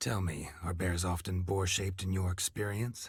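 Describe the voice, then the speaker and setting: A man uses a put-on character voice with a very deep, low pitch. He speaks at a moderate pace on a very clean recording with a silent background. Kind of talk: old-fashioned gentlemanly speech. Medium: video game. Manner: pompous, theatrical, sardonic.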